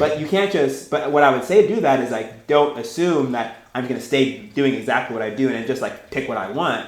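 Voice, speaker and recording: A man speaks very rapidly, with clear room echo and noticeable noise in the background. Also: medium pitch for a man, lively intonation. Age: young. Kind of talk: talk with discussion. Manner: casual, halting.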